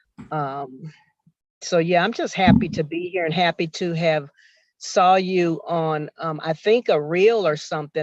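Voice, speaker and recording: A woman talks at a moderate pace and a fairly low pitch in a plain, everyday voice. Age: 60s. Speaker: workshop participant. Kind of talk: casual chat.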